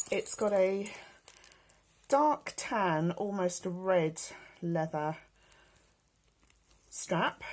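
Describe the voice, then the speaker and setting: Using a British accent, a woman at medium pitch talks at a very slow pace with lively intonation and long, frequent pauses. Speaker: beauty and fashion vlogger. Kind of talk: casual show-and-tell vlog.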